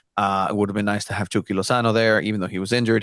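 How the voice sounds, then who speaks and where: Recorded dry and close with no echo, a man with a fairly low pitch speaks in a monotone, flat way. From Mexico (Tijuana). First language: Spanish. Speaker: soccer journalist. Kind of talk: casual podcast interview.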